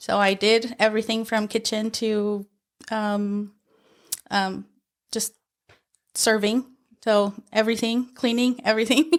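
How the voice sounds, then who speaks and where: A woman's fairly high voice with monotone, flat intonation and long, frequent pauses. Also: fairly slow pace. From Mexico, Michoacán; moved to Utah at eleven. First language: Spanish. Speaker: paralegal. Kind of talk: interview. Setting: on camera at the workplace.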